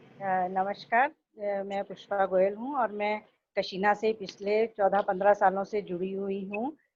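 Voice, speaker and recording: Speaking with hardly any pauses, a woman has an ordinary speaking voice, medium pitch, and fairly even intonation. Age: 60s. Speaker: dance student. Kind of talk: testimony.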